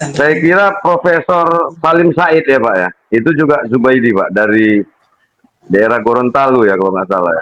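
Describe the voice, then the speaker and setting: Very wide pitch swings in a man's medium pitch, at a moderate tempo. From Medan, North Sumatra, Indonesia. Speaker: guest, DNA test participant. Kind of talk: panel discussion.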